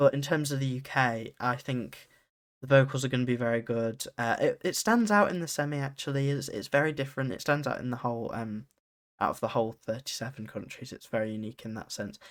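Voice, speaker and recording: In a very clean recording with a silent background, a man speaks in a British accent at a very fast pace. His pitch is medium, with ordinary pitch variation. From UK. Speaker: podcast host. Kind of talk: solo podcast analysis. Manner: casual, with frequent fillers.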